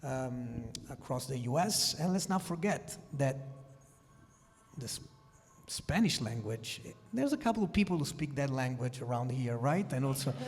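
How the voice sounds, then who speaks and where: A man speaks with a fairly high pitch and lively intonation, stopping for long, frequent pauses. Music plays behind him, and the room echo is audible. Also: moderate pace. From Italy. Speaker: sports executive. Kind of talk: conference panel discussion.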